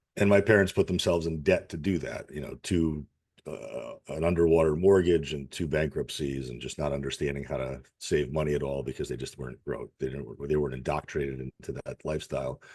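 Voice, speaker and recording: A man speaks at a very deep, low pitch with vocal fry. His pitch variation is ordinary. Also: fairly quick pace. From Russia, raised in Connecticut, US. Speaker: fitness and nutrition coach. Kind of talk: podcast interview. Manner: casual, candid.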